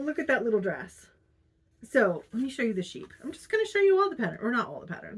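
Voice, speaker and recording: A woman speaks in a somewhat breathy voice. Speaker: crafting vlogger. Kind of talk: casual video diary. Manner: animated; pitch rises when excited.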